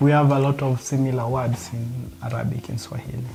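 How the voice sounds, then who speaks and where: Music plays in the background as a man with a Kenyan accent speaks. His pace is fairly quick and his intonation fairly even. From Kenya, Luo community. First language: Luo. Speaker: interviewee. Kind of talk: casual interview while cooking.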